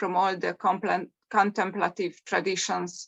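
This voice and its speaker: In a non-native accent, the speaker talks at a fairly slow pace with monotone, flat intonation. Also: woman. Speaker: mindfulness coach. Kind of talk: meditation introduction. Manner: hesitant, with fillers.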